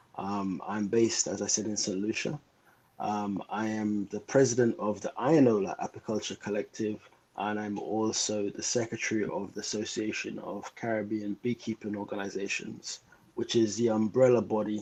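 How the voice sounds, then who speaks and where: Here a man speaks with a London accent at a moderate pace. His pitch is fairly low and his intonation fairly even. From England, South London. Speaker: beekeeper. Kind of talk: interview presentation.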